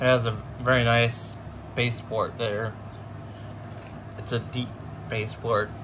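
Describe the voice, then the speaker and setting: A man speaks at a medium pitch in a monotone, flat delivery with long, frequent pauses. His pace is very slow, and room echo is audible. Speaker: product unboxing youtuber. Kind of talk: unboxing video commentary. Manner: halting.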